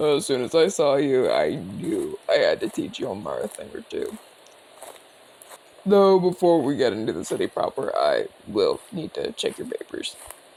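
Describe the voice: Putting on a character voice, a man speaks at a moderate pace with a medium pitch, a slightly mellow tone, vocal fry and very wide pitch swings.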